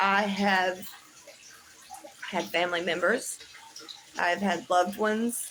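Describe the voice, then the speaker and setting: A woman talks at a fairly slow pace, and noticeable background noise is present. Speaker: livestreamer sharing mental health resources. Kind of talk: casual live chat; guided breathing exercise read aloud. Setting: livestream.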